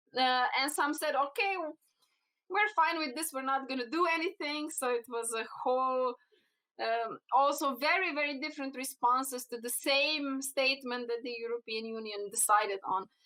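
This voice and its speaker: In a Slovenian accent, a woman with a high, bright, sharp voice speaks raised and projected at a moderate pace, with ordinary pitch variation. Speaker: cannabinoid researcher. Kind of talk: podcast interview. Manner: halting, many fillers.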